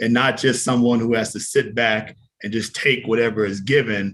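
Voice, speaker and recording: A man talks at a moderate pace with fairly even intonation and a medium pitch. It is an ordinary speaking voice. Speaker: webinar presenter on civic advocacy. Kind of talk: presentation.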